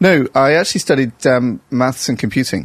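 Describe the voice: This man has a medium-pitched voice with a slight northern English accent. He moves at a moderate pace with ordinary pitch variation.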